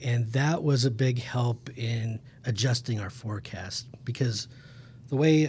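Speaking fairly slowly, a man with a Midwestern American accent sounds somewhat breathy, with ordinary pitch variation. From Kansas (Emporia). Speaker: hydrologist. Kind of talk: casual interview.

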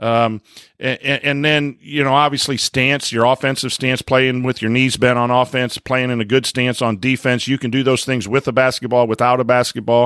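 In a very clean, dry and close recording with no echo and a silent background, a man with a medium pitch and an unremarkable speaking voice talks at a moderate pace with fairly even intonation. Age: 40s. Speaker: high school basketball coach and teacher. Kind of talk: casual sports chat.

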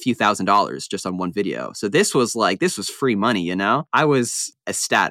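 A man's bright, sharp voice with an American accent, lively intonation and a fairly quick pace, dry and close with no echo, in a very clean recording with a silent background. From Long Island, New York. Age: 20s. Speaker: tennis YouTuber. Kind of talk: interview.

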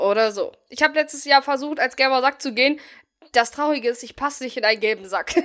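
A woman with a high voice talks very fast, her pitch moving in an ordinary way while her loudness swings widely. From Bielefeld, Germany. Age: 20s. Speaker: podcast host. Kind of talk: casual chat.

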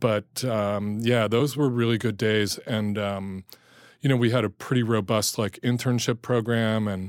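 A man with an American accent and an unremarkable speaking voice. He talks at a moderate pace with fairly even intonation. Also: very clean recording, silent background. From New Jersey, US. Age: 60s. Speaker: chef and cookbook author. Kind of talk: casual chat.

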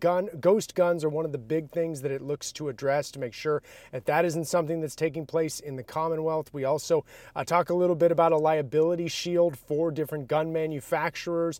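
A man with a normal speaking voice talks at a fairly high pitch and fairly quick pace, with fairly even intonation. The recording is very clean, with a silent background. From outside Massachusetts. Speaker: political reporter. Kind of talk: casual political discussion.

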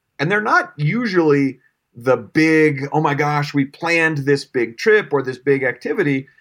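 On a very clean recording with a silent background, a man with an American accent and a normal speaking voice talks at a moderate pace, fairly high in pitch with ordinary pitch variation. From Colorado. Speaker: startup founder and CEO. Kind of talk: casual interview.

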